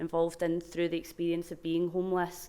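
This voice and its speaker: A woman's fairly low voice in a Glaswegian accent. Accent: Glaswegian Scottish. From Scotland, Glasgow. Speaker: research programme manager. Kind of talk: conference talk. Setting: stage with microphone at conference.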